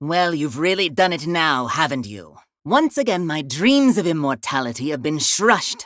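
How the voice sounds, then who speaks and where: A woman puts on a character voice with a very deep, low pitch. Her pace is moderate. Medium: solo performance. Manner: precise, heavily enunciated, regal with flowery lilts.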